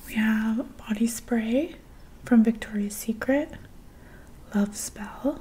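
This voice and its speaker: A soft-spoken woman at a very slow pace. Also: ordinary pitch variation. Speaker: beauty product reviewer. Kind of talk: casual product review chat. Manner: soft-spoken, hushed close-mic ASMR voice. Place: home room. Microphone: studio mic.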